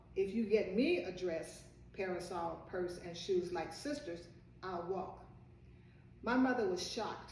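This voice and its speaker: A woman with an American accent speaks at a fairly slow pace, and some room echo can be heard. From Virginia, US South. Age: 80s+. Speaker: storyteller. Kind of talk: personal life story.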